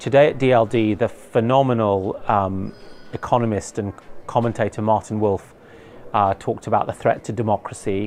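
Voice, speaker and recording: Backed by music, a man with a fairly low pitch speaks at a fairly quick pace. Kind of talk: debate.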